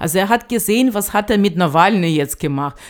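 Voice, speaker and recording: In a Russian accent, a woman speaks at a medium pitch with very wide pitch swings. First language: Russian (speaking German). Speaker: association chair. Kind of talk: interview. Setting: studio. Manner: halting, many fillers.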